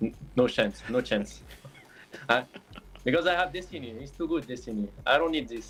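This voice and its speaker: Medium-pitched male speech at a moderate pace, with lively intonation and long, frequent pauses. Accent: French. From France. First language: French. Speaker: esports player. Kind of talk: post-match interview. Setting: live stream. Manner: halting.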